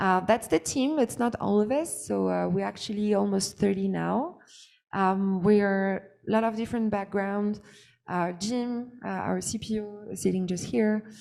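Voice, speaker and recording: Speaking at a moderate pace in a French accent, a woman has a dark, mellow tone, a medium pitch and ordinary pitch variation. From France. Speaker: startup founder. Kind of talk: pitch presentation. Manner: halting, many fillers.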